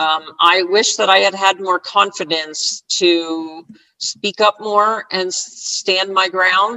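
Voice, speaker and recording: Using an American accent, a woman with a medium pitch talks at a very slow pace with fairly even intonation. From US Northeast (northern New Jersey). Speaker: retired scrum master and agile coach. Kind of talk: interview.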